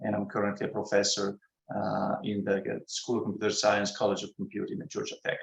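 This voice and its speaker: A man with an Italian accent at a fairly quick pace. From Italy. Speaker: computer science professor. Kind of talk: academic talk. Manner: halting, many fillers.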